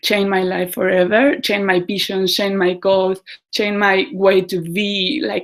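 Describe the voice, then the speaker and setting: A woman speaks with a Mexican accent. Her pitch sits in the medium range. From Mexico. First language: Spanish. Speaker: community organizer. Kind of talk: casual talk to online group. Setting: video call. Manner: halting.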